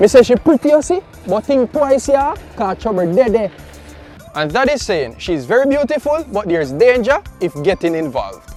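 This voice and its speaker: With music playing behind him, a man speaks at a moderate pace in an extremely high pitch that swings very widely. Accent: Jamaican. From Jamaica. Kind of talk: casual talk to camera.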